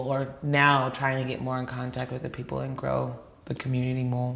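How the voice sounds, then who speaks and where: A woman speaks with a New York accent. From New York (Queens). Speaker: dancer and fitness trainer. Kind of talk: interview. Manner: casual, many fillers.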